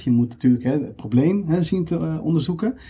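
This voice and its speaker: A man with an unremarkable speaking voice talks at a fairly quick pace and fairly high pitch, his intonation lively. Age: 30s. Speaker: recruiter. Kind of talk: interview.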